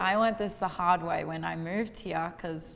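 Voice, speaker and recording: In an Australian accent, a woman talks at a moderate pace with a fairly low pitch and fairly even intonation. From Western Australia. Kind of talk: casual conversation.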